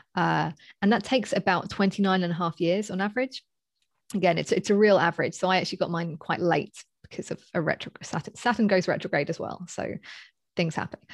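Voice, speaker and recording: A woman talks at a fairly quick pace in a London accent, medium in pitch with ordinary variation. The recording is very clean, with a silent background and a dry, close sound with no echo. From Southeast London, England. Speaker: astrologer and coach. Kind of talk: casual interview. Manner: halting, many fillers.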